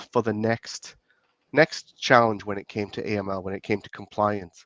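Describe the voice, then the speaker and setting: A man speaks with a British accent. The background is quiet, and the sound is dry and close with no echo. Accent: UK. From UK. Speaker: compliance expert, former police officer. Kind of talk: interview. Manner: halting, frequent repetitions.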